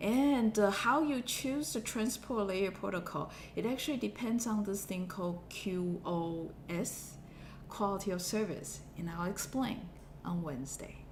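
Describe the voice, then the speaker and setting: A somewhat breathy woman's voice with lively intonation, a fairly slow pace and audible room echo. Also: medium pitch for a woman. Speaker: university lecturer. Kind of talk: lecture. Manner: hesitant, many fillers.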